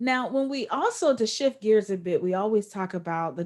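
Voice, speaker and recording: A woman with an unremarkable speaking voice, fairly slow and lively in intonation, on a very clean recording with a silent background. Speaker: podcast interviewer. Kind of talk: interview host talk.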